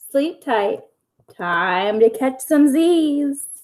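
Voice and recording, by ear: Putting on a character voice, a woman speaks very slowly at a high pitch, with lively intonation and a slightly mellow tone.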